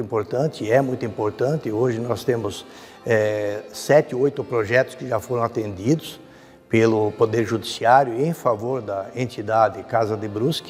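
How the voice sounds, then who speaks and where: A man speaks at a moderate pace and a medium pitch, his intonation fairly even, with music playing in the background. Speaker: judiciary official. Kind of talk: interview answer.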